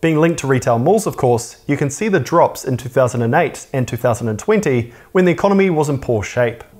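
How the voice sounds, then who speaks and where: With a New Zealand accent, the speaker moves at a moderate pace with lively intonation and hardly any pauses. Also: man, fairly high pitch for a man. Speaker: personal finance YouTuber. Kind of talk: scripted educational narration.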